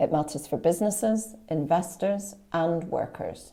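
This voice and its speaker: In a Northern Irish accent, a woman speaks with a very deep, low pitch and a dark, mellow tone. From Northern Ireland, County Antrim. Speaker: diplomat. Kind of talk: formal speech opening a webinar. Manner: formal.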